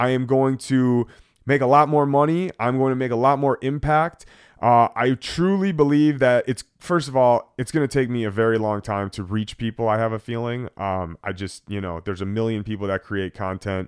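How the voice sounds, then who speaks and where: Recorded dry and close with no echo against a very clean, silent background, a man speaks at a moderate pace with a medium pitch and lively intonation. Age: 30s. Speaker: vlogger. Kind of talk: personal vlog monologue. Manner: casual, hesitant with fillers.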